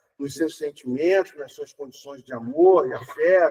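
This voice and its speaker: The pace of this man's speech is moderate. His pitch is high. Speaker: spiritist speaker. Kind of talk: public lecture.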